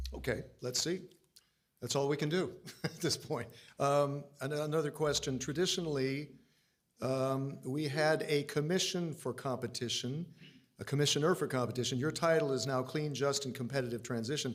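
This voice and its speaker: With an American accent, a man speaks at a moderate pace and fairly high pitch with fairly even intonation, an ordinary speaking voice. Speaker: interviewer. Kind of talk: interview.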